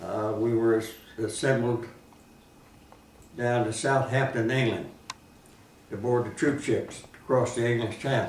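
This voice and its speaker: A man with an American accent speaks at a fairly slow pace in a monotone, flat intonation, with long, frequent pauses. Audible room echo and noticeable background noise surround him. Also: medium pitch for a man. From southern Indiana, US. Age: 90s. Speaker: war veteran. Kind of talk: oral history interview.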